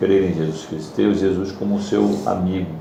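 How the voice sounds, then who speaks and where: Speaking at a fairly slow pace, a man has a fairly low pitch. Audible room echo and noticeable background noise surround him. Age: 60s. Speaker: church class member. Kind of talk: testimony. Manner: halting.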